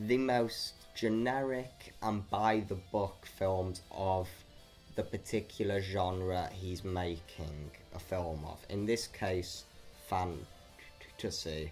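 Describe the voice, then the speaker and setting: Over music in the background, a man speaks at a very slow pace in a very deep, low pitch with ordinary pitch variation. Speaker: movie reviewer. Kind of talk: casual review talk to camera. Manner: some stuttering.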